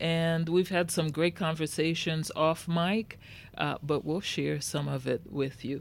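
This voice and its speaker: A woman's very deep, low voice with a warm tone and fairly even intonation, in a very clean recording with a silent background. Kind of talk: radio dj patter. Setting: radio studio. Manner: warm, polished, welcoming.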